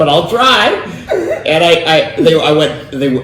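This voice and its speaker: There is audible room echo and noticeable background noise. A man speaks at a fairly slow pace with a fairly high pitch. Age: 60s. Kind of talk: casual interview storytelling.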